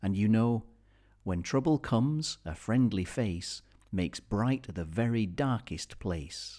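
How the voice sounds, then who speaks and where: A man with a British accent speaks at a fairly slow pace, his fairly low voice dark and mellow with lively intonation. The recording is very clean, the background silent. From Britain. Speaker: audiobook reader. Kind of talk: children's story reading.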